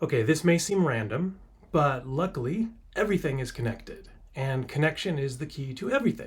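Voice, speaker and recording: A man speaks in a somewhat breathy voice. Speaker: middle school learning specialist. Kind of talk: talk to students. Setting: school. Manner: playful.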